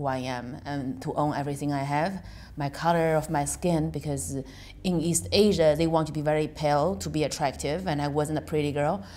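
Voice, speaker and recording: A woman's very deep, low voice with vocal fry, in a Chinese accent, at a moderate pace with ordinary pitch variation. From China. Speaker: stand-up comedian and comedy club owner. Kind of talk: interview.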